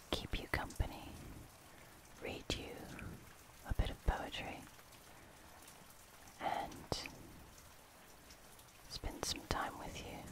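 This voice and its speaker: A soft-spoken whisper in a soothing tone over loud background noise, very slow, with long, frequent pauses. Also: dry sound with no echo. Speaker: ASMR host. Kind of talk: soft-spoken comforting talk. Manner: soft soothing ASMR whisper. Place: home room.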